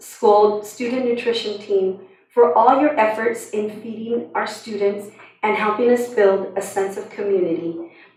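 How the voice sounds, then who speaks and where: Fairly high pitch and fairly even intonation from a woman, with audible room echo. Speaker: school district coordinator. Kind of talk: reading aloud. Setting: school board meeting.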